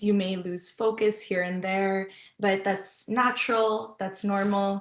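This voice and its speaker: Someone talks in a normal speaking voice at a fairly slow pace, keeping the intonation fairly even. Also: woman. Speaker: research assistant and meditation instructor. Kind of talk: guided meditation.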